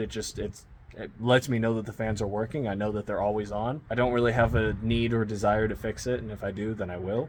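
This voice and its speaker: At a fairly quick pace, a man with medium pitch talks in an ordinary speaking voice. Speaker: car repair vlogger. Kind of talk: casual vlog. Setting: outdoors, driveway. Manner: casual, filler-heavy.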